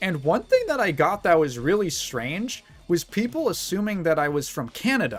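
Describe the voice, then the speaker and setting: Amid noticeable background noise, a man with a slight Midwestern accent speaks at a moderate pace and high pitch, his pitch swinging very widely. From US Midwest, Chicago. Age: 20s. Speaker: streamer. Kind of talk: casual chat. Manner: halting.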